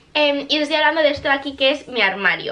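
This is a woman speaking. Her pace is very fast. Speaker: vlogger. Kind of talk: casual vlog chat. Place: home room.

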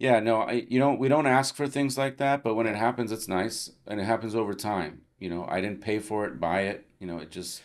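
Fairly quick American-accented speech with hardly any pauses, ordinary pitch variation and a quiet background. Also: man, fairly low pitch for a man. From Los Angeles, California, US. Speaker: plastic surgeon; podcast guest. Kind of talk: interview conversation. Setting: studio at a conference. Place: home room. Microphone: studio mic.

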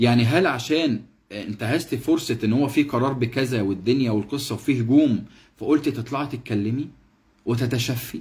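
The voice is somewhat breathy. It keeps a moderate pace with ordinary pitch variation. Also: man. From Egypt. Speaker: actor doing a live stream commentary. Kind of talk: casual live stream talk. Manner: animated. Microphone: phone near.

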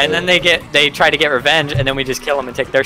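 A man's fairly high voice at a very fast pace, with fairly even intonation over noticeable background noise. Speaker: gamer on voice chat. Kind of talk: casual slang, profanity. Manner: casual, joking.

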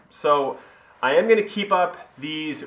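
In a room with audible echo, a man speaks with a fairly bright tone and ordinary pitch variation.

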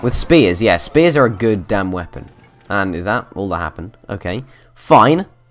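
Unforced delivery of a reading voice

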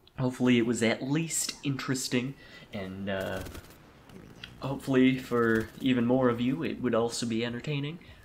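Noticeable background noise is present. The speech moves at a moderate pace. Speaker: gaming youtuber. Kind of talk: casual vlog monologue.

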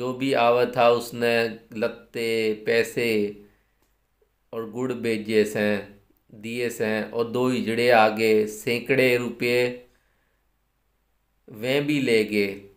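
Long, frequent pauses break up very slow speech against a quiet background. The intonation stays monotone and flat. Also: man, medium pitch for a man. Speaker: storyteller. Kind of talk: story reading. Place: home room. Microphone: phone near.

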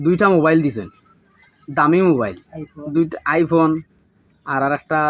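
A man with a Sylheti accent, fairly high in pitch, with ordinary pitch variation. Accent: Sylheti-accented Bengali. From Bangladesh, Sylhet region (Moulvibazar, Juri). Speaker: migrant worker, robbery victim. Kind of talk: testimony. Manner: halting.

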